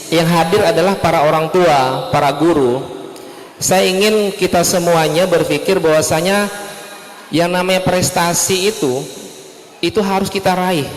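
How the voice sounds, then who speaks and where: A man with a Malay accent talks fairly slowly in a high voice with ordinary pitch variation. Audible room echo and noticeable background noise surround him. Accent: Malay-accented Indonesian. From Indonesia, West Kalimantan. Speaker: seminar speaker. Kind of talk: parenting seminar talk. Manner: relaxed, conversational.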